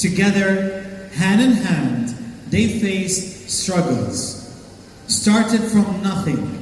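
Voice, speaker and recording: Over noticeable background noise, a man talks very slowly in a high voice. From Lebanese. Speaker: wedding host and MC. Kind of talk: wedding MC hosting, ceremony narration and vow prompting. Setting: live wedding event with microphone.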